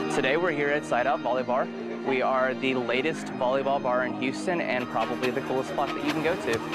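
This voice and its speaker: A man talking at a fairly quick pace over loud background music, the sound dry with no echo. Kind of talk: interview answer. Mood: upbeat, proud promotional. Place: garden. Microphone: lapel.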